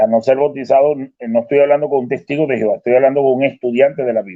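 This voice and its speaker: A man talking at a very fast pace, medium in pitch. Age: 60s. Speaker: retired professor, debater. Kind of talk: online debate.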